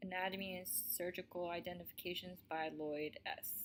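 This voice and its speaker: Speaking at a moderate pace with an American accent, this is an unremarkable speaking voice with fairly even intonation. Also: woman. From US, Colorado. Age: 20s. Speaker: army medic and student presenter. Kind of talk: student presentation, read from script.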